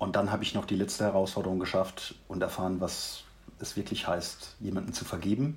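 A man talks at a fairly quick pace in a fairly low voice with ordinary pitch variation. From Mannheim, Germany. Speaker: leadership coach. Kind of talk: interview, personal story.

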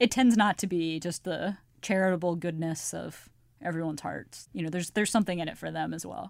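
A woman talks at a fairly quick pace with big swings in loudness on a very clean recording with a silent background. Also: ordinary pitch variation. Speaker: politics editor. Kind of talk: casual interview chat.

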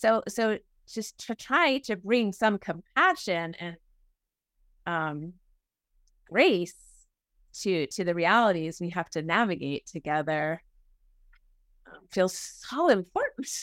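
A woman with an American accent at a medium pitch, very slow in pace, with lively intonation, big swings in loudness and long, frequent pauses, in a dry, close sound with no echo and a very clean recording with a silent background. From New England (Boston area). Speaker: minister. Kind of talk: interview conversation.

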